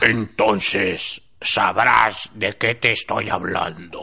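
Using a put-on character voice, a man speaks in a raspy tone at medium pitch and a very slow pace.

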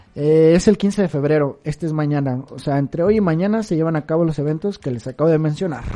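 A woman's very deep, low voice, dark and mellow in tone, at a very fast pace with hardly any pauses and ordinary pitch variation. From Mexico, Guadalajara. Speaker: podcast co-host. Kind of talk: casual chat.

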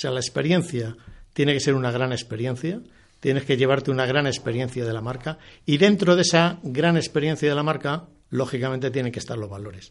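Pitched in the medium range, a man speaks at a moderate pace with ordinary pitch variation. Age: 60s. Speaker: former bank executive and author. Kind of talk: interview. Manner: halting, many repetitions.

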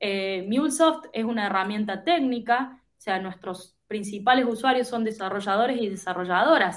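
This woman has a normal speaking voice, fairly high in pitch with ordinary pitch variation. She talks at a moderate pace, with big swings in loudness. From Argentina, Córdoba province. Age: 30s. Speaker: tech product manager. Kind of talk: interview conversation. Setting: remote call.

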